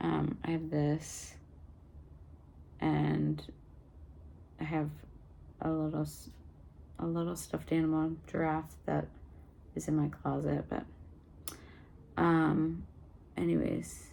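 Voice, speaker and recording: Against audible room echo, a woman speaks at a very slow pace with long, frequent pauses. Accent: American. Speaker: vlogger. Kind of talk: casual vlog. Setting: at home, in apartment. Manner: hesitant, many fillers.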